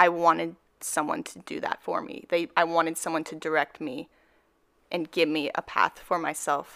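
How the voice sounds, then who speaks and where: A woman's fairly low voice with vocal fry, dry and close with no echo, in a very clean recording with a silent background. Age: 20s. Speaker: nursing student. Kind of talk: casual chat.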